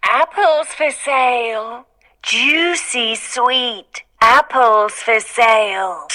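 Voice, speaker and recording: Using a put-on character voice, the speaker moves at a very slow pace with lively intonation. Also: woman, high pitch for a woman. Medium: read story. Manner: wheedling.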